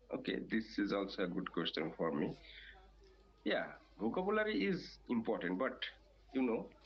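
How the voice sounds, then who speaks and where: With a Bangladeshi accent, a man speaks at a moderate pace with very even loudness and long, frequent pauses. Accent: non-native, Bangladeshi. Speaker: English learner. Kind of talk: interview. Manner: halting, many fillers.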